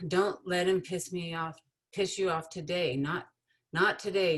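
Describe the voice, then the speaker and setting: A woman speaks at a moderate pace in an ordinary speaking voice. Her pitch sits fairly low. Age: 50s. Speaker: writer. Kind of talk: reading aloud.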